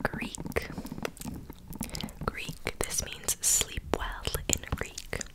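A soft-spoken woman is whispering. She goes at a very slow pace. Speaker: ASMR creator. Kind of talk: soft whispered ASMR talk. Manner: soft close-mic ASMR whisper. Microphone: studio mic.

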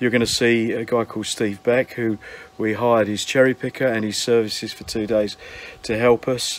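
A man speaks at a moderate pace with monotone, flat intonation. The sound is dry, with no echo. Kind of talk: casual vlog chat. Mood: cheerful, friendly. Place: garden. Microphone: phone near.

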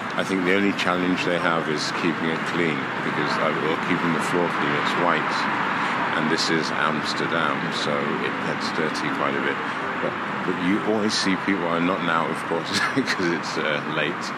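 A man talks at a moderate pace through loud background noise. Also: dry sound with no echo. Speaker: walking tour guide. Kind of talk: casual walking commentary. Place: tunnel cave. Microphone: phone near.

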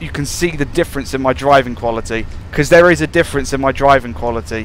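A fairly quick British accent with ordinary pitch variation against noticeable background noise. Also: man. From UK. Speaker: gaming YouTuber playing train simulator. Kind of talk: gameplay commentary. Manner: animated.

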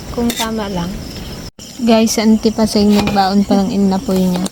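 A fairly high-pitched woman at a moderate pace amid noticeable background noise. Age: 30s. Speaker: vlogger. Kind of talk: casual vlog chat. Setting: outdoors at a hut.

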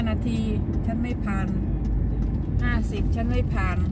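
A woman speaks against loud background noise. The sound is dry, with no echo. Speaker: driver vlogger. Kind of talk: casual vlog chat. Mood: chatty, storytelling about exam. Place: car. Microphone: phone near.

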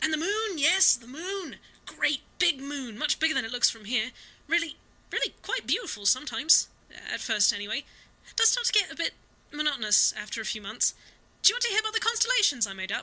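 This put-on character voice sits high in pitch and moves at a fairly quick pace. Its pitch swings very wide. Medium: audio drama. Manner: rambling, eager, scatterbrained.

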